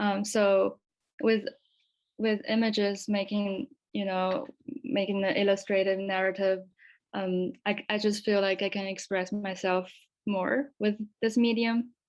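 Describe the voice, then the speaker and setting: A woman with a Chinese accent speaks at a fairly slow pace and a medium pitch. Her intonation stays fairly even, with long, frequent pauses. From China, Chengdu. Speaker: student grant recipient. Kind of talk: q&a discussion.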